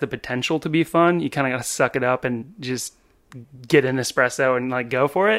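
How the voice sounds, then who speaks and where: A man's normal speaking voice, fairly quick, with fairly even intonation and an American accent. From California. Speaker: podcast host and bartender. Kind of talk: casual interview chat.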